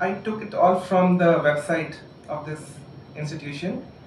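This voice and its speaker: Over noticeable background noise and audible room echo, a man talks in a high voice with ordinary pitch variation. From India, Jharkhand (Ghatshila). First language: Santhali. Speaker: writer and doctor. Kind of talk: public talk. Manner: halting, many fillers.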